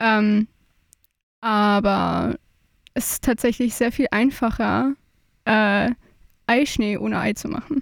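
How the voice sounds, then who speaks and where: A woman talks at a very slow pace and a fairly high pitch with fairly even intonation and long, frequent pauses. The recording is very clean with a silent background, and the sound is dry and close with no echo. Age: 20s. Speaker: trainee dance teacher. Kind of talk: casual chat.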